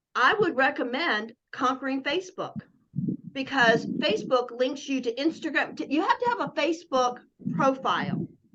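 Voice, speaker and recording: With lively intonation, a woman speaks in a high pitch and a bright, sharp tone. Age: 60s. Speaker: network marketing coach. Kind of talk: casual chat. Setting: video call.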